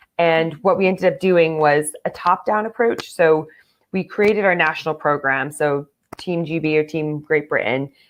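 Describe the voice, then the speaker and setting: A woman with an American accent and an ordinary speaking voice speaks at a moderate pace and fairly low pitch, with ordinary pitch variation. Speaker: football player and coach. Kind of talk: interview.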